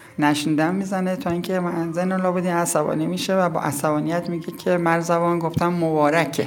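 A woman with a fairly low pitch talks at a fairly quick pace in a monotone, flat intonation with hardly any pauses, amid noticeable background noise and audible room echo. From Iran, Yazd province village. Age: 50s. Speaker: local villager, storyteller. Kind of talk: interview, storytelling.

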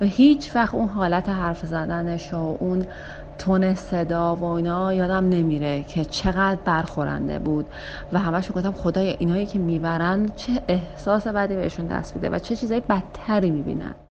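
A woman's fairly low pitch in an ordinary speaking voice, with ordinary pitch variation and a moderate pace. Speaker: interviewee sharing a personal story. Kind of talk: casual storytelling.

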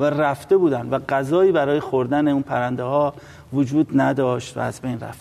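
Talking fairly quickly in a plain, everyday voice, a man uses a fairly high pitch and fairly even intonation. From Iran, Tehran. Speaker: environmental activist and researcher. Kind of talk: TV interview.

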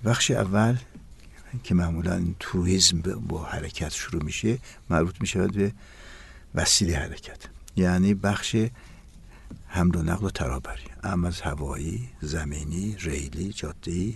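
A man's very deep, low voice with vocal fry, lively intonation, a fairly slow pace and long, frequent pauses. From Iran, East Azerbaijan (Ahar). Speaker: tourism professor. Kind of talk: interview. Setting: studio.

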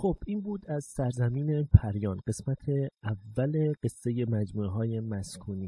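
A man speaks at a medium pitch in a somewhat breathy voice with a dark, mellow tone. His pitch varies in an ordinary way, and the sound is dry and close with no echo. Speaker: podcast host and narrator. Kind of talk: scripted narration.

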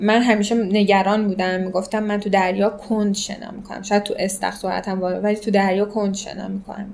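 A woman's medium-pitched, flat monotone at a very fast pace over noticeable background noise. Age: 20s. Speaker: amateur triathlete. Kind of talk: interview, personal story.

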